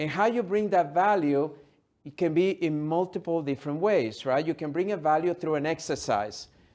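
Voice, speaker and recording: A man with a non-native accent speaks over a quiet background. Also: fairly high pitch for a man, ordinary pitch variation, moderate pace. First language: not English. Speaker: motivational speaker and author. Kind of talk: interview.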